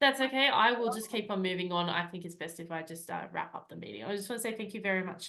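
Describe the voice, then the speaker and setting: With an Australian accent and a bright, sharp tone, this speaker talks at a very fast pace with hardly any pauses and ordinary pitch variation. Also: woman, medium pitch for a woman, big swings in loudness. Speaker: Toastmasters club member acting as meeting leader. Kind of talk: meeting facilitation and closing remarks.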